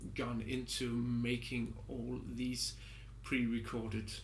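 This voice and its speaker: There is audible room echo as a man speaks at a very slow pace. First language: not English. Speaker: music composer and product reviewer. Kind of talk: product review. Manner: halting, with many fillers.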